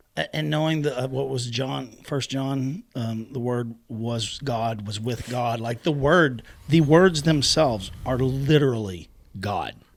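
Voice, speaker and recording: A man talks in an unremarkable speaking voice at medium pitch. His pace is fairly slow, with ordinary pitch variation. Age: 40s. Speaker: podcast host. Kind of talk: casual chat. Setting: home garage studio.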